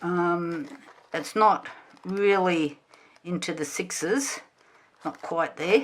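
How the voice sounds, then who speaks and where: A woman's mumbling at a very slow pace, medium in pitch and bright, sharp in tone, in an Australian accent. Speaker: gardening YouTuber. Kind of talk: tutorial. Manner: casual, many fillers.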